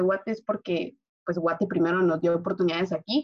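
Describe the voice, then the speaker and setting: Speaking at a fairly quick pace, a woman uses a normal speaking voice at medium pitch. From Guatemala. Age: 20s. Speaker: engineering student. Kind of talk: casual chat.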